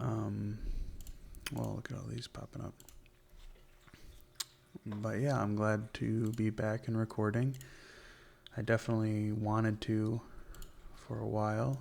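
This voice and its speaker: In a relaxed tone, a man speaks fairly slowly with fairly even intonation and long, frequent pauses. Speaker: ASMR gaming content creator. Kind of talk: ASMR gameplay commentary, soft spoken. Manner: soft-spoken, relaxed.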